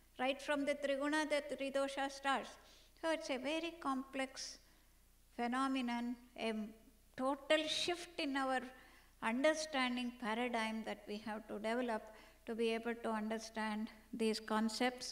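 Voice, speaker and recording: A woman speaks at a moderate pace in a high voice with ordinary pitch variation. She takes long, frequent pauses. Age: 60s. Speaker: medical doctor and yoga researcher. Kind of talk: conference keynote lecture.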